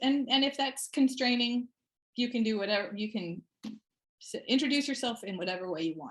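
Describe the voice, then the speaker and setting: A woman speaks at a moderate pace, somewhat breathy. Her intonation is lively. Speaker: meeting facilitator. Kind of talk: online meeting facilitation.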